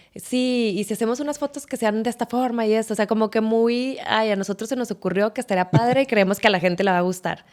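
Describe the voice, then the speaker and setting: Hardly pausing, a woman talks at a very fast pace. Her pitch is fairly high with ordinary variation. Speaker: stadium announcer and marketer. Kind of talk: podcast interview answer.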